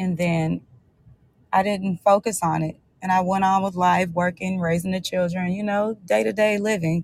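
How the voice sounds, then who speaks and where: At a moderate pace, the somewhat breathy voice keeps fairly even intonation. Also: woman, medium pitch for a woman. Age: 40s. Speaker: author and blogger. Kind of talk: interview.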